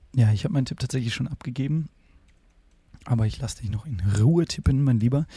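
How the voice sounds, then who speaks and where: A man talks at a very fast pace with long, frequent pauses, his medium-pitched voice dark, mellow and somewhat breathy. The sound is dry and close with no echo, and his pitch varies in an ordinary way. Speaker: podcast co-host. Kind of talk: casual chat. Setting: video call.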